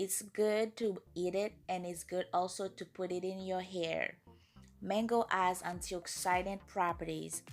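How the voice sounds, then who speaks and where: Over music in the background, a woman talks at a fairly slow pace in a medium pitch with monotone, flat intonation. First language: French and Creole. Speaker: natural hair care YouTuber. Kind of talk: casual talk to camera.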